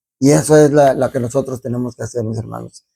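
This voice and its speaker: This man's voice has a medium pitch and a dark, mellow tone, recorded with a dry, close sound and no echo. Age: 60s. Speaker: deacon. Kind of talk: homily. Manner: halting.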